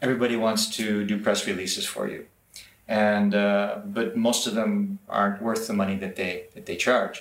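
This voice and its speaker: A man with an American accent, monotone and flat in intonation, at a moderate pace. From US, Los Angeles area. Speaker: entrepreneur, business developer. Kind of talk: interview. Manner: halting, repeats words.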